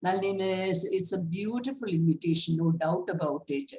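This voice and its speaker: Somewhat breathy and fairly low in pitch, a woman speaks at a moderate pace with lively intonation. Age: 80s+. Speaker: school founder, award recipient. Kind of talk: acceptance speech. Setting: video call.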